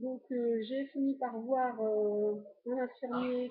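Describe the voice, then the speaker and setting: Her fairly high voice stays monotone and flat as this woman speaks. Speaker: vlogger documenting weight-loss surgery journey. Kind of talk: personal vlog, casual recounting. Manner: fast; hesitant, many fillers.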